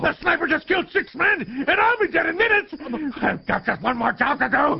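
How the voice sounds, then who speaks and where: A man puts on a character voice, pitched extremely high and delivered at a fairly quick pace. There is light background noise. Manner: rough, boisterous, violent.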